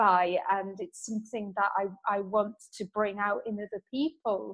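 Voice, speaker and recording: A woman with a British accent speaks at a very slow pace and a fairly high pitch, in a very clean recording with a silent background. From UK. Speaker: entrepreneur, book-writing coach. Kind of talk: interview conversation.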